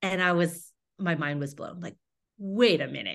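A woman's fairly low voice with an American accent, at a fairly slow pace against a quiet background. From Houston, Texas. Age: 40s. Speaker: runner and writer. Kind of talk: casual interview.

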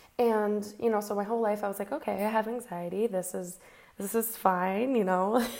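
This is a normal speaking voice. It keeps a moderate pace and fairly even intonation. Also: woman, medium pitch for a woman. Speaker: podcast host. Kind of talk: solo podcast monologue. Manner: casual, conversational.

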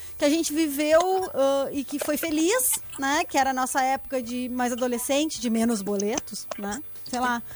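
With a southern Brazilian accent, a woman talks in an animated tone at a moderate pace, her high pitch showing ordinary variation over noticeable background noise. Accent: gaúcho Brazilian Portuguese. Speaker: podcast co-host. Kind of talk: casual chat.

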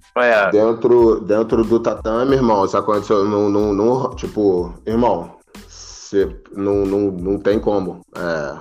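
Over music in the background, a man speaks very slowly at a fairly low pitch with ordinary pitch variation. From Baixada Fluminense, Rio de Janeiro. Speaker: jiu-jitsu instructor. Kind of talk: casual chat.

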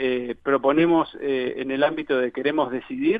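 This is a man speaking. His pitch is fairly high. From Uruguay, Montevideo. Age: 30s. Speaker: candidate for football club presidency. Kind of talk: radio interview. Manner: halting, many fillers.

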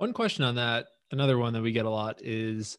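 A plain, everyday voice from a man of medium pitch, fairly quick and fairly even in intonation, in a very clean recording with a silent background. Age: 20s. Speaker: podcast host and real estate investor. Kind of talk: interview. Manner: casual.

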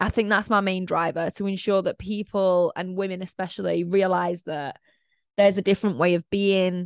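A woman with a Mancunian accent, fairly low in pitch, with fairly even intonation and a dry, close sound with no echo. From Manchester, England. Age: 20s. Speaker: podcast host and mindset coach. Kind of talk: casual solo monologue.

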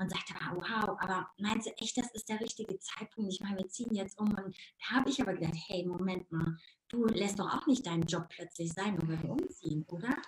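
At a fairly quick pace, a woman with a slight Ruhr accent talks in an animated tone at a medium pitch, with ordinary pitch variation. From Ruhr area, Germany. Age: 50s. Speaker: life coach. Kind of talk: casual interview. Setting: live video stream. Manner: fast.

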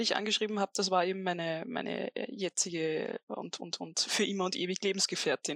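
At a fairly quick pace, a woman with an Austrian accent speaks at a medium pitch with ordinary variation, the sound dry and close with no echo on a very clean recording with a silent background. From Upper Austria. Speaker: author. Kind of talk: interview, storytelling.

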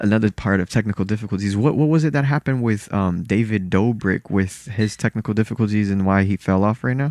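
Speaking at a fairly quick pace in a fairly low pitch, a man shows ordinary pitch variation and very even loudness, with a quiet background and a dry, close sound with no echo. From born in Salvador, Brazil, raised in South Florida. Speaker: podcast guest. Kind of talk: casual banter chat. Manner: animated, jokey.

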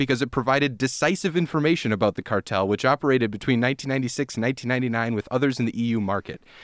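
In a very clean recording with a silent background, a man with a medium pitch speaks at a very fast pace. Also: hardly any pauses. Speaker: podcast host. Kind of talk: casual chat over beers. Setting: recording together, drinking beer. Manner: joking, bantering.

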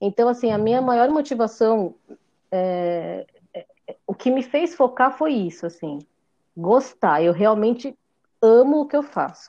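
A woman with fairly high pitch and lively intonation speaks at a fairly slow pace, with long, frequent pauses. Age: 40s. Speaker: confectioner. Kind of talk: casual chat.

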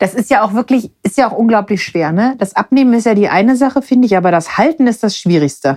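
Very fast and lively in intonation, a woman speaks at a fairly high pitch. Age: 30s. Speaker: podcast co-host. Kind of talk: casual chat.

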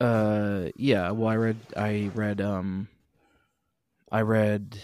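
A man's fairly low, monotone voice with flat intonation at a very slow pace. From Billings, Montana. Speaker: podcast co-host, musician. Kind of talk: casual chat. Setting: remote, recorded apart.

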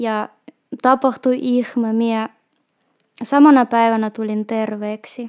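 A woman talks at a very slow pace in a fairly high pitch, her intonation flat and monotone. The sound is dry and close, with no echo. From Russia, Petrozavodsk. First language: Russian (speaking Finnish). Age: 30s. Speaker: shop assistant. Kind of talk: personal testimony. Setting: recorded on location in Lappeenranta.

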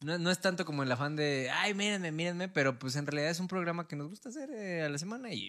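Speaking at a very fast pace, a man uses a high pitch and a bright, sharp tone, with ordinary pitch variation. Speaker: podcast co-host. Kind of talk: casual chat.

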